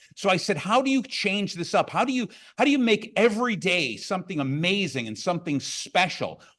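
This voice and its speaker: A man speaks loudly at a fairly quick pace in an animated tone. His pitch is high and his intonation lively. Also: very clean recording, silent background. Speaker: business coach and motivational speaker. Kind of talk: conference keynote talk. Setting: stage with audience.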